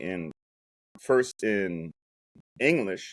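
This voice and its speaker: A man with a German accent and lively intonation, in a very clean recording with a silent background and a dry, close sound with no echo. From Germany, Hamburg suburbs. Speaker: startup founder. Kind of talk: interview. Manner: animated.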